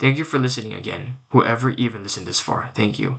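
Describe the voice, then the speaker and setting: A man at medium pitch with a bright, sharp tone and vocal fry. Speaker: vlogger. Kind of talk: casual monologue rant. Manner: stuttering; halting, repetitive.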